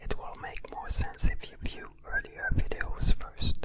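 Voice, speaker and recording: The voice is whispering, fairly slow in pace. Noticeable background noise accompanies it. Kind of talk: ASMR spiritual narration. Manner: whispered.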